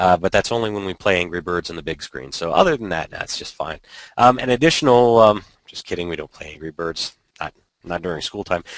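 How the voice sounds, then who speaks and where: This man has a very deep, low pitch and ordinary pitch variation, speaking at a fairly quick pace with big swings in loudness. The recording is dry and close, with no echo. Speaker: podcast co-host, educational technology. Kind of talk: casual panel discussion. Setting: video call.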